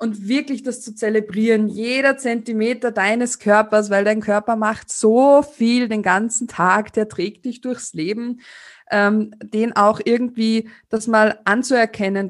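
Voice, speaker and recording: Against a quiet background, a woman with an Austrian accent speaks at a fairly slow pace. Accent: Austrian German, tends to slip into dialect. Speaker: sex educator. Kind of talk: interview.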